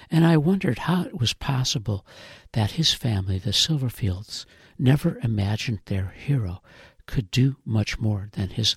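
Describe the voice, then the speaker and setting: This man has a medium-pitched, somewhat breathy voice with an American accent and lively intonation, speaking at a moderate pace. The recording is very clean with a silent background and a dry, close sound with no echo. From Illinois (Chicago area, Rockford). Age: 70s. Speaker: podcast writer and producer. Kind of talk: scripted narration.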